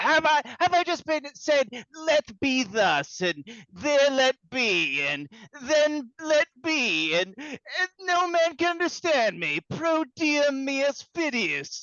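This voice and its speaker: The voice is a put-on character voice pitched high. It moves at a very slow pace. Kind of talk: play reading. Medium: audio drama. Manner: blustering, scolding.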